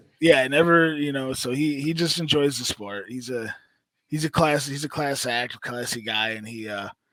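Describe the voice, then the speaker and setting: At a moderate pace, a man with an American accent speaks in a fairly high pitch with a bright, sharp tone and ordinary pitch variation. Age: 20s. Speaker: podcast co-host and amateur hockey player. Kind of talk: casual chat. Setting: studio. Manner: halting.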